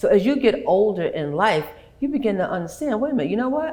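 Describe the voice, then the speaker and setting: A woman talks at a very fast pace with an American accent. Audible room echo fills the recording. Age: 70s. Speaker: talk show host. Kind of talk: interview conversation.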